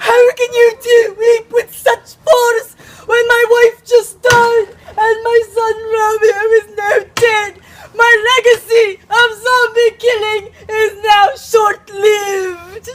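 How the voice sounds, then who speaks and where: In a put-on character voice, the speaker delivers extremely high-pitched lines at a very slow pace with monotone, flat intonation. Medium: stage play. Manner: melodramatic.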